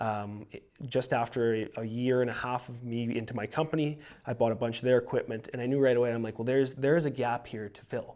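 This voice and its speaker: In a Canadian Prairie accent, the speech runs very fast with fairly even intonation and big swings in loudness. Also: man, medium pitch for a man. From Saskatchewan, Canada. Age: 20s. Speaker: young entrepreneur, lawn care business owner. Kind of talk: podcast interview.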